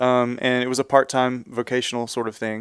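A man speaks with a Texan accent. His pitch sits in the medium range. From Texas, Houston area. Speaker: church music and worship minister. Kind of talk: casual interview.

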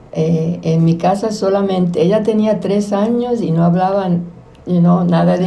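A woman's medium-pitched voice in a room with audible echo, fairly slow, with fairly even intonation. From Puerto Rico, Quebradillas. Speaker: community activist. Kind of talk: interview. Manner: halting, many fillers.

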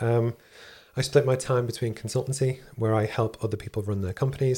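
A man speaks at a very fast pace in a medium pitch, his somewhat breathy voice dark and mellow, on a very clean recording with a silent background. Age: 40s. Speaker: engineer and business founder. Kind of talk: interview.

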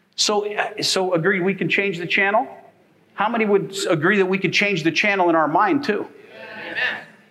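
With a raised, projected voice, a man speaks fairly quickly at a high pitch with ordinary pitch variation, amid audible room echo and noticeable background noise. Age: 50s. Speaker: pastor. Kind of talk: sermon. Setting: church.

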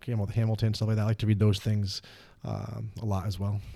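A man's fairly low-pitched voice, dark and mellow in tone, with monotone, flat intonation. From Rhode Island, Central Falls. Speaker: dean of students. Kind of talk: casual interview.

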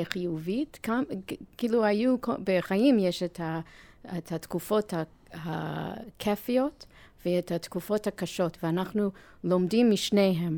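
Very slowly and in an American accent, a woman speaks with a dark, mellow tone in a very clean recording with a silent background. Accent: American accent in Hebrew. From US, New York. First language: English (speaking Hebrew). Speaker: nonprofit chair and marketing executive. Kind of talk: interview. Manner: halting.

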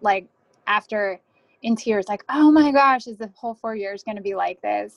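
A woman with an American accent talks at a moderate pace in a fairly high pitch, with ordinary pitch variation and an unremarkable speaking voice. The sound is dry and close, with no echo. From New Jersey. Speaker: Coast Guard officer. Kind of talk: interview.

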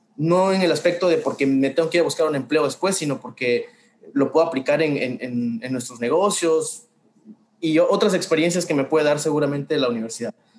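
Here a man speaks at a fairly quick pace. His pitch is fairly high and varies in an ordinary way. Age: 20s. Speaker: food business owner. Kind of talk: casual interview. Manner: halting.

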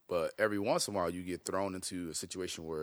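In a very clean recording with a silent background, a man with a very deep, low pitch and an American accent talks at a fairly quick pace. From Chicago, West Side. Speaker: podcast host. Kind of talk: casual chat.

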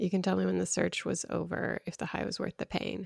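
The woman's voice sounds dry and close with no echo, recorded very cleanly against a silent background. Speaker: podcast host. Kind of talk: casual chat.

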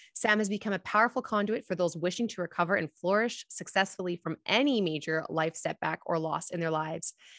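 Against a quiet background, a woman with an unremarkable speaking voice talks at a fairly quick pace and medium pitch, with ordinary pitch variation, hardly any pauses, and a dry, close sound with no echo. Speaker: podcast host. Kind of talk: casual interview chat.

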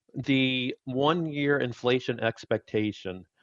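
The clip has an unremarkable speaking voice with ordinary pitch variation. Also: man. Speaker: chief investment officer. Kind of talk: financial analysis interview. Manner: measured, explanatory.

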